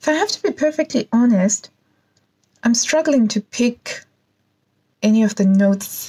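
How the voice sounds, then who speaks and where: Against a quiet background, a woman speaks fairly slowly at very even loudness, leaving long, frequent pauses. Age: 40s. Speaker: YouTuber, perfume reviewer. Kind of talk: product unboxing and review. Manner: animated. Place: home room. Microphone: phone near.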